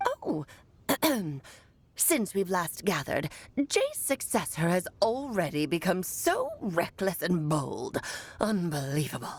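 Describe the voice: A put-on character voice at a fairly slow pace. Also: woman, medium pitch for a woman.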